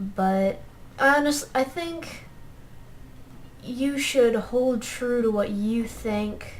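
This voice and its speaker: Quiet and high-pitched, a woman speaks at a very slow pace with long, frequent pauses. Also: ordinary pitch variation. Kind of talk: gameplay commentary. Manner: quiet, hard to hear.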